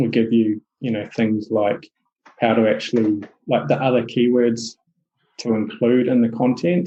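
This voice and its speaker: Speaking at a moderate pace and medium pitch, a man with a New Zealand accent keeps his intonation fairly even. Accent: Kiwi. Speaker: SEO agency owner. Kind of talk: podcast interview. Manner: hesitant, many fillers.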